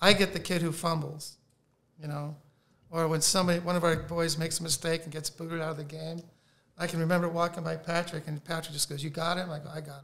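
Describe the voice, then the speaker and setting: Pitched high, a man talks at a very fast pace. His intonation is monotone and flat. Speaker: priest. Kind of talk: casual interview. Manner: calm.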